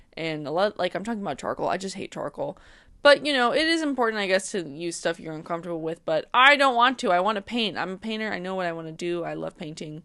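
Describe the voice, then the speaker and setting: Mumbling at a very fast pace, a woman at medium pitch has a bright, sharp tone, very wide pitch swings and big swings in loudness over a quiet background. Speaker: art student and vlogger. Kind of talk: casual vlog talk.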